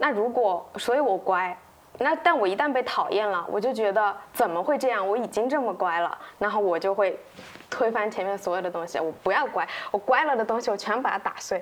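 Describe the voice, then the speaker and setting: A woman at a medium pitch with lively intonation and a fairly quick pace, over noticeable background noise. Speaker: copywriter, podcast co-host. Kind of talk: casual chat.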